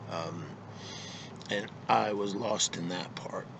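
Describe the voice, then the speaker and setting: Audible room echo colors a man's very deep, low voice. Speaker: vlogger. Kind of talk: casual monologue. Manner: halting, many fillers.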